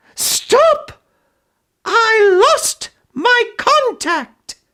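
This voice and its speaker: Putting on a character voice, a man speaks at an extremely high pitch. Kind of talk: dramatic reading. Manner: overly dramatic.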